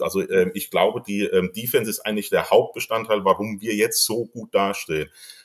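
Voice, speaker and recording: The background is silent and the recording very clean as a man talks at a moderate speed. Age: 40s. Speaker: football fan club member. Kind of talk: casual chat.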